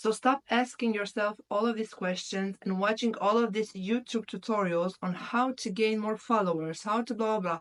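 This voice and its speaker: With a non-native accent, a woman with a fairly high voice talks at a moderate pace with fairly even intonation and hardly any pauses. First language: not English. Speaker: YouTuber, self-development. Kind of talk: motivational talk to camera. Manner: halting, with some stumbles.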